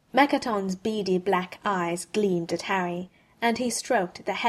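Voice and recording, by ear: The pitch moves in an ordinary way. The text is read aloud in a natural voice.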